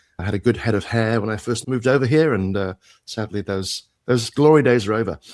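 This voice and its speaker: In a very clean recording with a silent background, a man with a British accent talks very fast at a medium pitch with ordinary pitch variation. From UK. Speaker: tech executive and entrepreneur. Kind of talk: interview.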